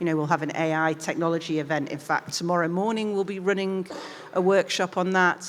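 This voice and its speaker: Fairly quick, fairly even speech from a woman. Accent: Mancunian. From northern England, Manchester. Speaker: diplomat. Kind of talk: interview on stage.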